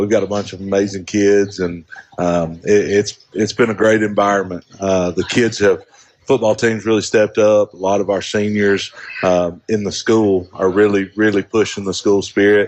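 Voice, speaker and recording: A man's fairly low voice at a moderate pace, monotone and flat. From northern Alabama. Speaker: high school principal. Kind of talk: casual radio interview. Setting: live radio broadcast from a coffee shop.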